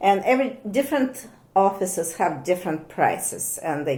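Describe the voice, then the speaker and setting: With lively intonation and a dark, mellow tone, a woman talks at medium pitch and a moderate pace. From Soviet Union. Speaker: thermography technician and physiognomist. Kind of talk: casual interview chat. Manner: halting, with many fillers.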